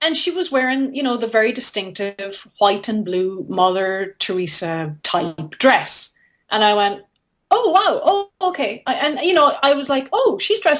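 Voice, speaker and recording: Against a quiet background, a woman with an Irish accent speaks at a high pitch with very wide pitch swings. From Ireland, near Limerick. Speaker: philanthropist and storyteller. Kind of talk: interview storytelling. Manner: halting, many repetitions.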